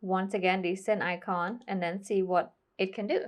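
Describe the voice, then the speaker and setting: A woman speaks at medium pitch with monotone, flat intonation. The background is quiet. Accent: non-native. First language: not English. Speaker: tech tutorial youtuber. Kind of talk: tutorial. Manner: casual, conversational.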